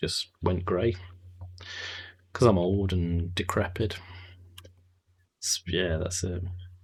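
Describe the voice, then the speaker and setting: Over a silent background on a very clean recording, a man with a very deep, low voice speaks at a very slow pace in a monotone, flat way, somewhat breathy and with long, frequent pauses. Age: 30s. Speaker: video game streamer. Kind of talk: live gameplay stream chat.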